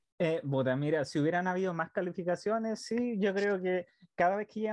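A man with a Chilean accent and a high pitch speaks with ordinary pitch variation in a dry, close sound with no echo and a quiet background. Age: 20s. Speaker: podcast co-host. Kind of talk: casual chat.

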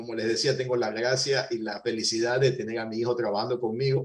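A man speaks in a somewhat breathy voice. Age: 60s. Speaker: business owner. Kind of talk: interview.

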